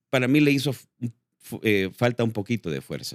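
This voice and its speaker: A man with vocal fry talks at a moderate pace with lively intonation, recorded with a dry, close sound and no echo. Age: 60s. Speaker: actor and filmmaker. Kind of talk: interview. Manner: halting, many fillers.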